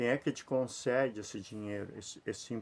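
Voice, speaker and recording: A man at a medium pitch, speaking at a fairly slow pace. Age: 60s. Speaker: lay preacher. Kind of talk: informal sermon to camera. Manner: repetitive, conversational.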